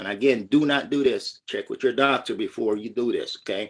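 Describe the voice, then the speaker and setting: This man has an unremarkable speaking voice with a medium pitch. His pitch variation is ordinary. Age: 60s. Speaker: military veteran and product distributor. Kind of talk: testimony. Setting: live-streamed group call.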